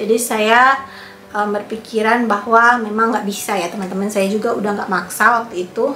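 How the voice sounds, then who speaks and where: Over music in the background and audible room echo, a woman speaks at a moderate pace with fairly high pitch and monotone, flat intonation. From Indonesia, Manado (North Sulawesi). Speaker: vlogger. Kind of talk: casual storytelling vlog.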